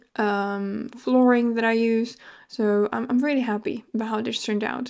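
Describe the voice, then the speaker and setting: A woman with a non-native accent speaks at a fairly high pitch in a monotone, flat delivery. The recording is very clean, with a silent background. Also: moderate pace. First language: not English. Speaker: video game content creator. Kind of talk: voiceover commentary. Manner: hesitant, many fillers.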